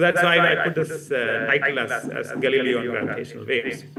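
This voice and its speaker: A man with a Keralan accent speaks at a fairly high pitch. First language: Malayalam. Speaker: physics professor. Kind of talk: public lecture. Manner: halting, many fillers.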